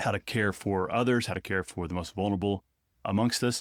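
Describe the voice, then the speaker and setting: On a very clean recording with a silent background, a man talks at a fairly quick pace. He has an Arkansas accent and fairly even intonation. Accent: noticeable Arkansas. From Northwest Arkansas. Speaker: theology professor. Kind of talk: conversational interview.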